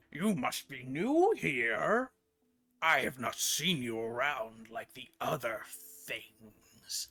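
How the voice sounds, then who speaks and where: Using a put-on character voice, a man speaks very slowly with a raspy, medium-pitched sound. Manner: curious, sizing up a newcomer.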